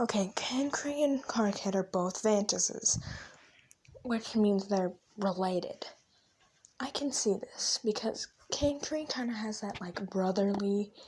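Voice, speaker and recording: Whispering comes through with long, frequent pauses over noticeable background noise. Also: fairly slow pace. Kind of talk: casual screen-recording commentary, reading fan headcanons aloud. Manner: whispered.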